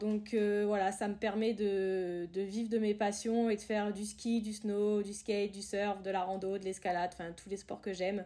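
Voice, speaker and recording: A woman's dark, mellow voice at a medium pitch and a moderate pace. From France, Tours (Loire valley). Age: 20s. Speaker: ski resort worker and outdoor sports enthusiast. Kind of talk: podcast interview. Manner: hesitant, many fillers.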